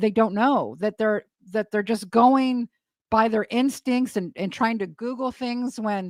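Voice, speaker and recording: A woman talks in a plain, everyday voice at a fairly slow pace. Her pitch is fairly high and her intonation fairly even. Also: dry, close sound with no echo. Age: 60s. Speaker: retired psych nurse and online commentator. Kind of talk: casual chat.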